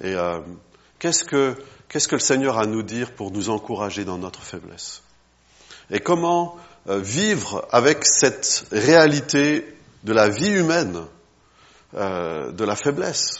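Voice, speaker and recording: Pausing long and often, a man speaks at a very slow pace with very wide pitch swings. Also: medium pitch for a man. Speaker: travelling preacher. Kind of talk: sermon. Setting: church.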